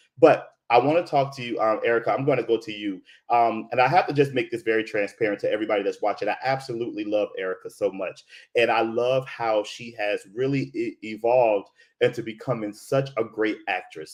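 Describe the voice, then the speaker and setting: This man talks at a fairly quick pace in an animated tone, his medium pitch showing ordinary variation. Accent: American. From Florida. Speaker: theatre director and show host. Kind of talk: live-stream conversation. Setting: live video stream.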